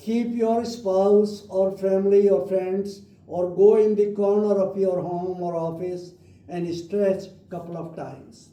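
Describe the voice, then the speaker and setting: Room echo surrounds a man with a high pitch and a dark, mellow tone, who speaks very slowly with fairly even intonation. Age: 80s+. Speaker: doctor leading yoga class. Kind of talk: guided exercise instruction. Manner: halting.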